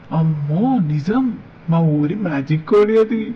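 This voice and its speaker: A cartoonish character voice speaks at a middle pitch and a fairly slow pace. Light background noise can be heard. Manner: warm, gentle.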